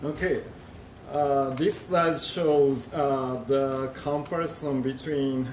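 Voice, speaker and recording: A man with a Japanese accent and a fairly high pitch speaks at a very slow pace amid audible room echo and noticeable background noise. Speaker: industry researcher presenting at a conference. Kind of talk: conference presentation. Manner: halting, many fillers.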